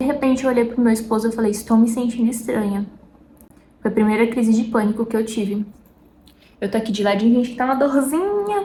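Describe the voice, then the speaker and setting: Her pace is very fast, yet long, frequent pauses break it up. The woman's fairly high pitch carries fairly even intonation. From interior of São Paulo state, Brazil. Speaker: lifestyle and faith vlogger. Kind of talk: casual faith talk to camera. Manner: chatty, informal.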